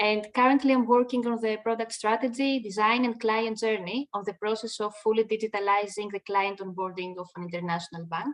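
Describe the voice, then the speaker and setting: A woman talks at a fairly quick pace with a fairly high pitch, fairly even intonation and hardly any pauses. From Greece, Athens. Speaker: business consultant. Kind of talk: webinar presentation.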